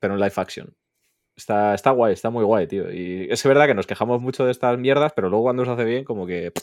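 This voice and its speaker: Against a quiet background, a man of medium pitch talks at a very fast pace with ordinary pitch variation. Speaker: podcast guest, gaming content creator. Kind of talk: casual chat.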